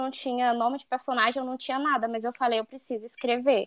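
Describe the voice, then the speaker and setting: A woman's voice, high in pitch. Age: 20s. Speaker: author. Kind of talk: interview. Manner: animated.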